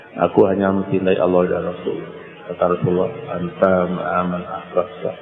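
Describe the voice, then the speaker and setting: A man talks at a very fast pace over noticeable background noise, with audible room echo. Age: 60s. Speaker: Islamic cleric. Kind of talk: religious sermon. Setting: pesantren gathering after dawn prayer.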